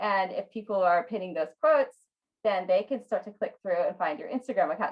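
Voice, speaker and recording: The speaker is a woman with a plain, everyday voice. Her pitch is fairly high and her pace fairly quick. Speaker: Pinterest marketing expert and online business owner. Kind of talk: online training session.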